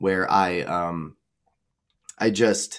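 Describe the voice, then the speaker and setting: A man speaks in a very deep, low register, recorded very cleanly against total silence. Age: 20s. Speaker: transformational coach and musician. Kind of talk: casual chat.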